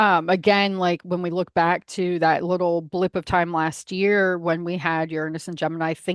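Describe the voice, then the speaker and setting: In a dry, close sound with no echo and a quiet background, a woman with a fairly low voice talks at a moderate pace with fairly even intonation. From United States, South American family. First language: Spanish. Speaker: astrologer, podcast host. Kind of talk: casual interview chat.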